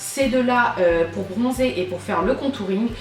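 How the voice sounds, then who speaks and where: Lively, fairly high-pitched female speech at a moderate pace, with audible room echo and music in the background. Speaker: beauty vlogger. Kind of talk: product review haul. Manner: hesitant, many fillers.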